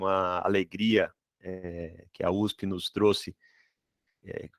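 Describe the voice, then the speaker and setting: With a Ceará accent, a man speaks at a fairly low pitch and fairly even intonation, the sound dry and close with no echo. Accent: northeastern Brazilian (Ceará), noticeable. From Brazil, Ceará (but moved around a lot). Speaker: dental materials professor. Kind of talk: online lecture. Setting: video call live stream. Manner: hesitant, many fillers.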